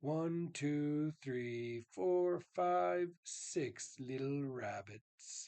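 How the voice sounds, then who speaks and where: A man's put-on character voice, fairly high-pitched, very slow yet with hardly any pauses. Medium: read story.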